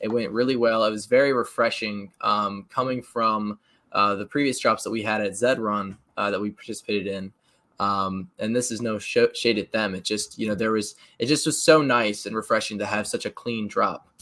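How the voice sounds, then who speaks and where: The man's voice has a bright, sharp tone at a medium pitch. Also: moderate pace, very clean recording, silent background. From North America. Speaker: gaming streamer host. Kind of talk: casual interview. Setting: livestream call. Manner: animated.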